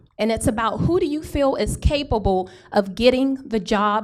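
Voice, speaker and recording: Room echo is audible as a woman speaks at a moderate pace. Her fairly high voice has lively intonation. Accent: American. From Houston, Texas. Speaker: political candidate. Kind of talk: campaign speech. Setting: town hall meeting with audience.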